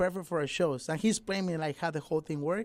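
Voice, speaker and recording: This man talks in a high voice with ordinary pitch variation. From Mexico, Nayarit. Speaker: musician and dancer. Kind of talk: radio interview. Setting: radio studio.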